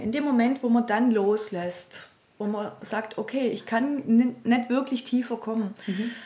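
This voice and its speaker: Over noticeable background noise, a woman talks very slowly at a fairly high pitch with fairly even intonation. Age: 50s. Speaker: healing practice and seminar center owner. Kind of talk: interview. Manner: hesitant, many fillers.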